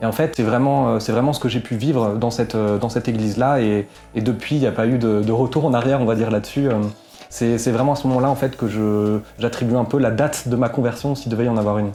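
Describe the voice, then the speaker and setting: With music in the background, a man talks at a very fast pace and medium pitch, his loudness very even and his intonation fairly even. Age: 20s. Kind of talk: interview testimony. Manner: hesitant, many fillers.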